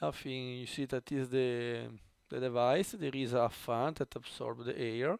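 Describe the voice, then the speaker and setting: The audio is dry and close, with no echo. A man talks, his pitch varying in an ordinary way. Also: medium pitch for a man. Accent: Italian. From Italy. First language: Italian. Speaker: tech YouTuber. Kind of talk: unboxing tutorial. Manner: halting, many fillers.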